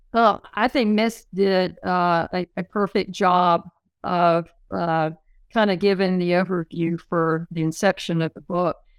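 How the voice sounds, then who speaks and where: A woman with a plain, everyday voice speaks at a fairly slow pace with a fairly low pitch and fairly even intonation, on a very clean recording with a silent background. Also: dry, close sound with no echo. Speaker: West Point graduate and former player. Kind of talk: casual interview chat.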